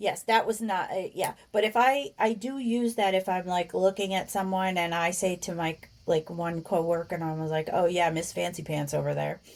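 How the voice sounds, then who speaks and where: Speaking with a New Jersey accent, a woman keeps a moderate pace and medium pitch, with ordinary pitch variation and hardly any pauses. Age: 50s. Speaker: podcast co-host. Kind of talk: casual chat.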